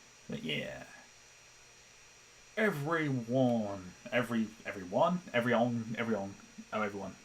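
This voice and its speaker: This speaker has a British accent and lively intonation. The pace is fairly slow, broken by long, frequent pauses. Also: man. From Britain. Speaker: animator and streamer. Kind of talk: casual live-stream chat. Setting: live stream on laptop. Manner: rambling with many restarts and fillers. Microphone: laptop noise picked up by mic.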